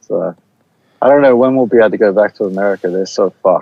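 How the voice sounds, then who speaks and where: Speaking with a New Zealand accent, a man uses lively intonation. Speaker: band musician, podcast guest. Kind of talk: casual chat.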